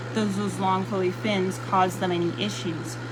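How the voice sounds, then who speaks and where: Amid audible room echo and noticeable background noise, a woman with a fairly low pitch speaks in very wide pitch swings. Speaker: aquarium fish breeder and curator. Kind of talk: informal video tutorial. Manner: loud, shouting; hesitant, many fillers. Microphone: no microphone.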